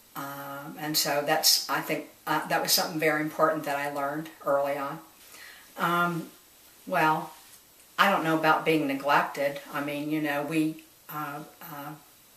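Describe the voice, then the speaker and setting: Noticeable background noise sits under a fairly slow speaker with an American accent. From US Midwest, Dayton, Ohio. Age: 60s. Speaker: retired nurse. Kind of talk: oral history interview. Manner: halting, many fillers.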